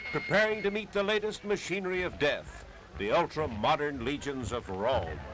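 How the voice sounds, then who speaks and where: In a dramatic tone, a man talks at a moderate pace with very wide pitch swings. Noticeable background noise runs underneath. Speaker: newsreel narrator. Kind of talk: vintage newsreel narration.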